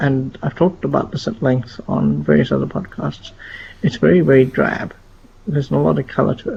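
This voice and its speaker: A quiet man speaks at a fairly quick pace over noticeable background noise. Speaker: gaming podcast host. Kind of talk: casual podcast discussion. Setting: at home, live stream. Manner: quiet, hushed.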